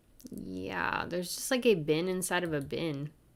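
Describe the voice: Speaking at a fairly slow pace, a woman with a fairly low pitch shows ordinary pitch variation and vocal fry.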